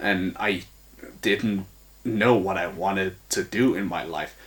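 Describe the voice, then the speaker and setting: Speaking fairly slowly, a man keeps his intonation fairly even. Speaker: aspiring actor and vlogger. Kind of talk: personal storytelling monologue. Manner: halting, repeats words.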